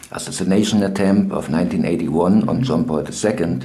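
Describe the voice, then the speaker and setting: A man speaks with a fairly low pitch and ordinary pitch variation. Music plays in the background. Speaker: interviewer. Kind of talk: interview question.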